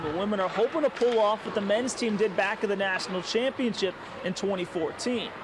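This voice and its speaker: A man speaks at a fairly quick pace in a high voice. Noticeable background noise runs behind him. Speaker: sports reporter. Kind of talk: TV news standup.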